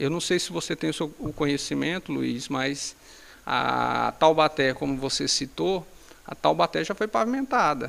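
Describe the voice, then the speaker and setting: This man has an unremarkable speaking voice. He talks at a moderate pace. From Brazil, Tocantins (Paraíso do Tocantins). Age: 40s. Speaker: municipal infrastructure secretary. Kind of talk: interview.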